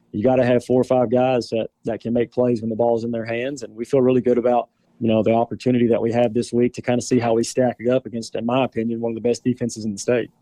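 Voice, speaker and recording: A man with a Southern US accent rattles along at a very fast pace with hardly any pauses and monotone, flat intonation. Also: medium pitch for a man, dry, close sound with no echo. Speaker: high school football player. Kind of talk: interview. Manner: halting.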